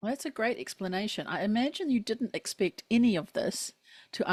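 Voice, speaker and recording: A woman speaks with an unremarkable speaking voice and lively intonation at a fairly quick pace. The sound is dry and close, with no echo. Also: very clean recording, silent background. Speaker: podcast co-host. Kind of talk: podcast host conversation.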